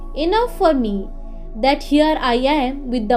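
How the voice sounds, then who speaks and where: Speaking with an Indian accent, a woman talks very slowly in a high pitch. Music plays in the background. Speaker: audiobook narrator. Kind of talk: audiobook reading of a classic novel.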